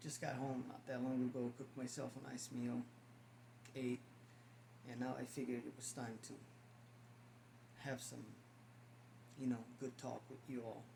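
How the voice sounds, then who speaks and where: Amid noticeable background noise, a man with a medium pitch talks at a moderate pace in a monotone, flat intonation, with long, frequent pauses. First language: not English. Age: 50s. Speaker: spiritual vlogger. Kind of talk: casual monologue to camera. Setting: at home, on camera. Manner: halting, repeats words.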